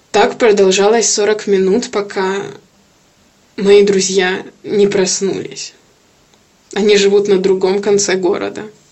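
A woman speaks at a very slow pace and medium pitch. Her intonation is monotone and flat, broken by long, frequent pauses. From Kyiv, Ukraine. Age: 20s. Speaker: IT worker. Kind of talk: testimony.

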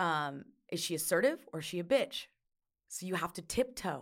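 A woman's voice on a very clean recording, silent in the background. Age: 20s. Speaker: rock band front-woman. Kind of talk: casual chat. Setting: in-person studio conversation. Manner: animated.

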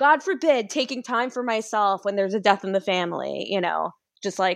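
Against a quiet background, a woman with a medium pitch and a normal speaking voice talks at a moderate pace with lively intonation. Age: 30s. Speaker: illustrator and mental health advocate. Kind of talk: casual interview chat.

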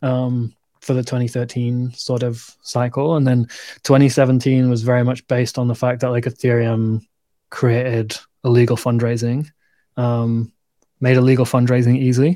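With a northern English accent, a man speaks at a moderate pace in a dark, mellow tone and monotone, flat intonation. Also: medium pitch for a man. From northern England. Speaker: crypto show co-host. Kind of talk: casual chat. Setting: livestream video call.

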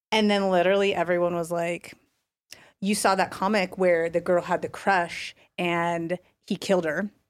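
Her voice is fairly low, and the woman keeps a moderate pace with monotone, flat intonation. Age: 30s. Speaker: homeschooling parent and former gallery owner. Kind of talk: casual chat.

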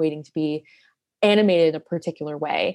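An unremarkable speaking voice, a woman with a fairly low pitch and fairly even intonation against a quiet background. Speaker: poet and research assistant. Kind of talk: interview conversation.

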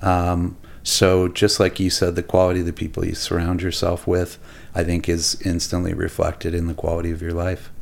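In a Canadian accent, a man speaks with a very deep, low voice and monotone, flat intonation. The recording is very clean with a silent background. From Alberta, Canada. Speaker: architect and restaurateur. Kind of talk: casual chat. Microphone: too far from mic.

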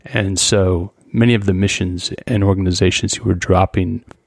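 Dry and close with no echo, a man with an American accent speaks in an unremarkable speaking voice, fairly low in pitch and at a fairly slow pace. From US Pacific Northwest, Skagit Valley, Washington. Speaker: photographer. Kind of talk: interview.

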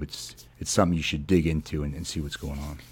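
Very fast delivery with fairly even intonation. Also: man. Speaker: military podcast host. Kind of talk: casual podcast chat. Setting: studio.

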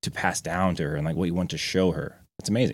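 The speaker moves at a fairly quick pace with ordinary pitch variation. The recording is very clean with a silent background. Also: man. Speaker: podcast guest. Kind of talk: casual chat. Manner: fast.

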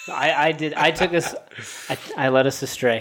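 A man's normal speaking voice at a medium pitch, with ordinary pitch variation and a fairly slow pace. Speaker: film podcast host. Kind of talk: casual film discussion podcast.

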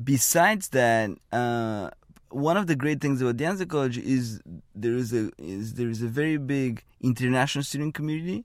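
A man in a Bulgarian accent, medium in pitch, with lively intonation, a moderate pace, and a very clean recording against a silent background. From Bulgaria, small town. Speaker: economist, postdoctoral fellow. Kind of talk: interview. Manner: halting.

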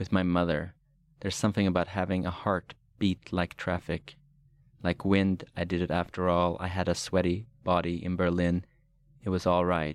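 With a Swedish accent, a man talks at a moderate pace in a very deep, low pitch and a monotone, flat delivery. The recording is very clean with a silent background. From Sweden. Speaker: poet. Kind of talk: poetry reading.

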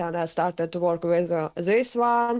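Very slow speech from a woman with a Russian accent and ordinary pitch variation, on a very clean recording with a silent background. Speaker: metal vocalist and vocal teacher. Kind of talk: interview. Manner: halting.

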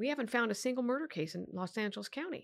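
A woman with a Californian accent, fairly high in pitch, at a fairly quick pace with lively intonation. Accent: General American (Californian). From Sacramento, California. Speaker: district attorney. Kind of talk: interview.

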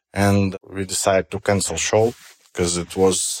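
A man with a Russian accent, fairly low in pitch and fairly slow, in a dry, close sound with no echo and a very clean recording over a silent background. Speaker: stand-up comedian. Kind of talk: interview. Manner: halting.

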